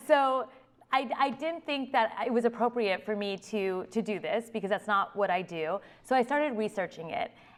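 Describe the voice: A woman talks at a moderate pace with few pauses. Her pitch is medium, with ordinary variation.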